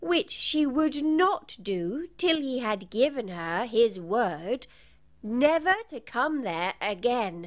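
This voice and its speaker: In a put-on character voice, a female-sounding speaker goes very slowly at a high pitch, swinging very widely up and down. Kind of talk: bedtime story. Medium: read story.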